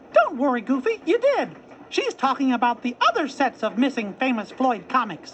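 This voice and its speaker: In a put-on character voice that sounds female, the high-pitched speech moves at a moderate pace over clear background noise. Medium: read story.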